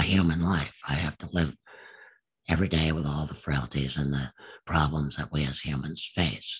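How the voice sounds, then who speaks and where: Vocal fry at a fairly slow pace. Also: man. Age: 70s. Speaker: war veteran. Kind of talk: testimony. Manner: hesitant, many fillers.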